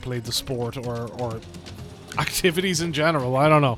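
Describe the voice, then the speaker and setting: A man mumbles at a fairly quick pace with music playing in the background. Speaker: gaming video creator. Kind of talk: casual gameplay commentary. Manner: mumbly.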